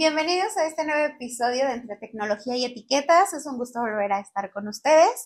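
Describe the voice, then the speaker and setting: Talking at a fairly quick pace with hardly any pauses, a woman with a Mexican accent uses a high pitch, lively intonation and big swings in loudness. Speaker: podcast host. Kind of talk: casual interview chat.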